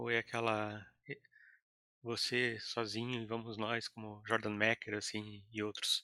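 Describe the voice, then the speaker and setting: At a fairly slow pace, a man with a medium pitch and a bright, sharp tone speaks in a monotone, flat intonation. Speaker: podcast co-host. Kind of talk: podcast interview.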